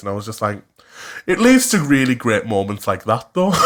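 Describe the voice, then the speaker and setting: The speaker, with a Cumbrian accent, uses ordinary pitch variation. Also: man. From West Cumbria, England. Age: 20s. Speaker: podcast co-host. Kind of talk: casual chat. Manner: animated.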